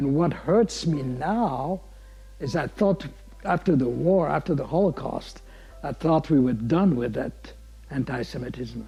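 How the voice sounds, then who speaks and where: A man talks fairly slowly. Background music can be heard behind him. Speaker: Holocaust survivor. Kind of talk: testimony.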